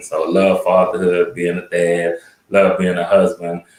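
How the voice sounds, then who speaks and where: Someone talks at a moderate pace with an American accent. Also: man. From New Orleans, Louisiana. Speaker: parent educator and motivational speaker. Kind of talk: panel discussion.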